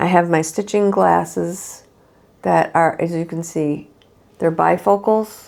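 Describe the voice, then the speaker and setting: With ordinary pitch variation and a fairly low pitch, the woman has an ordinary speaking voice. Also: fairly slow pace. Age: 60s. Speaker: cross stitch video host. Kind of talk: casual show-and-tell vlog. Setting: home living room. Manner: casual, with fillers and restarts.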